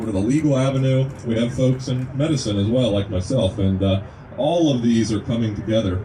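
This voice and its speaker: A man at medium pitch with a slight Kentucky accent, ordinary pitch variation and a moderate pace, over noticeable background noise. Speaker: naturopathic medicine student, speaker at a rally. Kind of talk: speech to a gathering. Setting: outdoors at a rest stop.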